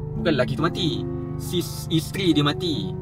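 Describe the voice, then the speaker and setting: Against clear music in the background, a man speaks in a dry sound with no echo. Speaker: vlogger. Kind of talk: casual vlog chat. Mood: startled, nervous in the dark.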